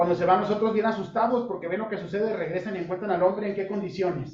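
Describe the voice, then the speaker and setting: A man's high-pitched voice with fairly even intonation and audible room echo. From Sinaloa, Mexico (Culiacán). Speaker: pastor / Bible teacher. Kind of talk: Bible study sermon. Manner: interactive, asks audience questions.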